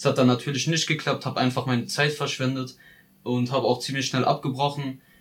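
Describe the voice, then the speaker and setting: A man's medium-pitched, somewhat breathy voice, monotone and flat, at a fairly quick pace. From Ludwigshafen, Palatinate, Germany. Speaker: vocational trainee. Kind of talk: personal narrative.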